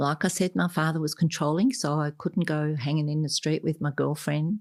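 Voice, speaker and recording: A woman speaks with a very deep, low pitch and fairly even intonation on a very clean recording with a silent background. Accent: Australian. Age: 70s. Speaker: adoptee and author. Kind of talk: interview.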